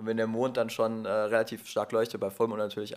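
A man with a medium pitch races along at a very fast pace, captured on a very clean recording with a silent background. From Ruhr area, near Duisburg, Germany. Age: 20s. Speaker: photographer. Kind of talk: casual conversation. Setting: sitting together on a sofa, in person. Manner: hesitant, many fillers.

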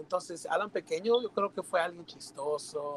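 Pitch swings very widely in this man's voice. He talks at a fairly slow pace. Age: 20s. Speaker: church youth leader. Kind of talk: casual chat.

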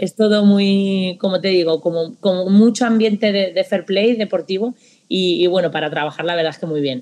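A woman with a plain, everyday voice speaks at medium pitch. Her pace is moderate and her pitch variation ordinary. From Spain. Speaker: football coach. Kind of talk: interview.

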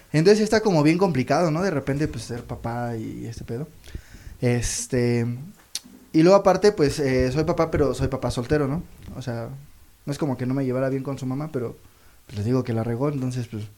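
Speaking at a fairly quick pace with long, frequent pauses, a man uses lively intonation in a dark, mellow tone at medium pitch. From Mexico, Toluca. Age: 30s. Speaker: comedian. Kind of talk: stand-up. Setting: stage with audience.

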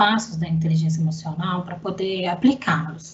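A woman talks as background noise remains noticeable. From Belo Horizonte, Minas Gerais, Brazil. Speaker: IT analyst. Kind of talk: casual chat.

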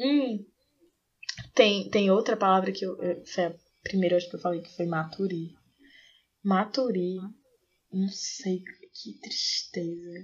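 Speaking at a fairly slow pace, a woman keeps a medium pitch with ordinary pitch variation. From Aracaju, Sergipe, Brazil. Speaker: podcast co-host. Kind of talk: casual chat. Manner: animated.

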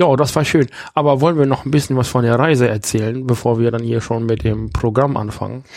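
Fairly quick speech with ordinary pitch variation over noticeable background noise. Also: man, medium pitch for a man. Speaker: podcast host. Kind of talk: casual chat. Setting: holiday rental in Husum. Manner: put-on northern German accent.

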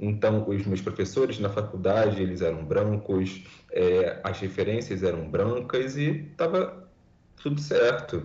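A man speaks at a fairly slow pace with lively intonation and a fairly low pitch, and audible room echo surrounds his voice. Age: 20s. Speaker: environmental scientist. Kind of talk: podcast interview.

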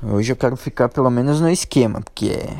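His voice sits at a medium pitch, varying in an ordinary way. The man talks at a moderate pace. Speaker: podcast host. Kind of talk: casual monologue. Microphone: echo in room.

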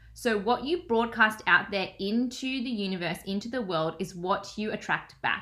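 This woman has an Australian accent and a bright, sharp tone at a fairly high pitch. She keeps a moderate pace with ordinary pitch variation. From Australia, Melbourne. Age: 20s. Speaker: manifestation and business coach. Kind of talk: casual interview chat.

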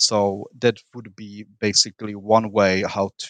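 A man at a very slow pace, bright and sharp in tone, with a dry, close sound with no echo and a quiet background. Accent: Central European. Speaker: political commentator. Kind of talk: debate. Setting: remote call, basic microphone. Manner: profane, animated.

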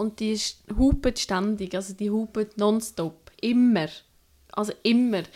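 A woman's dark, mellow voice at a very slow pace, fairly high in pitch, with ordinary pitch variation and long, frequent pauses. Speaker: traveller. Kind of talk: casual chat.

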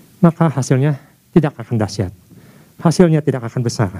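Somewhat breathy and dark, mellow in tone, a man speaks very fast at a medium pitch with very wide pitch swings, in a dry, close sound with no echo. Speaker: preacher. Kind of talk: sermon. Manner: formal; earnest, driven, preacher in full flow.

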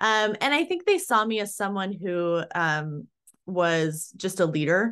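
A woman with a normal speaking voice talks at a fairly slow pace and a medium pitch. Her pitch varies in an ordinary way against a quiet background. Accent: American. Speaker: employment litigation attorney. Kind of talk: casual interview chat.

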